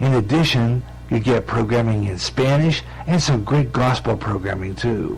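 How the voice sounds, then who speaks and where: A man talks at medium pitch and a moderate pace, his pitch varying in an ordinary way, while noticeable background noise carries on. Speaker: internet radio host. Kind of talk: radio promo read.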